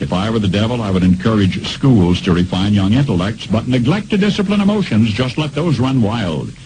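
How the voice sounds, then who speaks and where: Noticeable background noise sits behind this man as he talks at a moderate pace. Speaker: radio broadcaster. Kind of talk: radio commentary reading.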